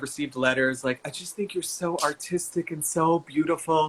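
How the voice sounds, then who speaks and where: A man talks in an American accent with a bright, sharp tone and fairly high pitch. His pace is moderate and his intonation fairly even. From North Carolina, Charlotte area. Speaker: comedian and stage performer. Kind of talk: casual chat.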